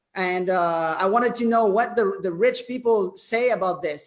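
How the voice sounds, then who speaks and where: A man with a French Canadian accent and a high pitch. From Quebec, Canada. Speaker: network marketing presenter. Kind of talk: sales pitch. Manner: halting, many fillers.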